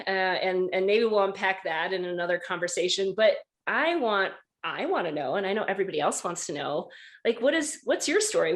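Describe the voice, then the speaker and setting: A woman with a plain, everyday voice and an American accent speaks at medium pitch and a fairly quick pace over a quiet background. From rural Wisconsin. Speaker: podcast host. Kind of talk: casual chat.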